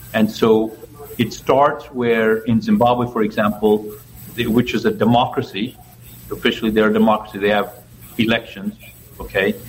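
A man at medium pitch speaks in a monotone, flat way with very even loudness at a moderate pace. Long, frequent pauses break up his speech, and there is noticeable background noise. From Ethiopia and Zambia. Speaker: election volunteer trainer. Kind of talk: interview.

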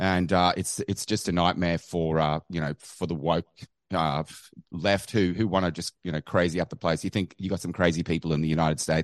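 With an Australian accent, a man speaks at a very deep, low pitch and a fairly quick pace in monotone, flat intonation. The sound is dry and close with no echo, against a quiet background. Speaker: caller, activist. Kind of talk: call-in chat.

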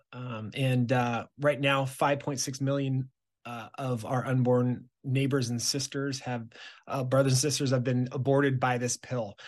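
In an American accent, a man speaks at medium pitch with monotone, flat intonation and a fairly slow pace. The background is quiet. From Southern California. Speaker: pro-life activist. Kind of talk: interview. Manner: halting, many fillers and restarts.

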